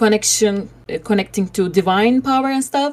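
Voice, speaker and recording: The speaker talks with a Turkish accent and ordinary pitch variation. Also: woman. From Turkey. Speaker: online spiritual class leader. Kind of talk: tutorial. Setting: online voice call.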